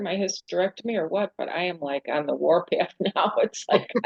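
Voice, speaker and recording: A woman talks in an ordinary speaking voice at a fairly quick pace with ordinary pitch variation. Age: 60s. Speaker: discussion participant. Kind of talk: casual group discussion.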